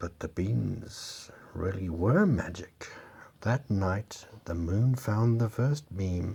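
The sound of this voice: Reading in an unforced voice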